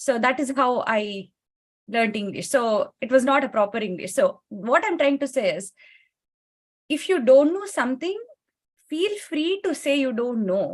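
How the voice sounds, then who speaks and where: The speaker has a Kannada accent and very wide pitch swings. Long, frequent pauses break up the speech. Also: woman, high pitch for a woman, moderate pace. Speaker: panelist, tech professional. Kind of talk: panel discussion.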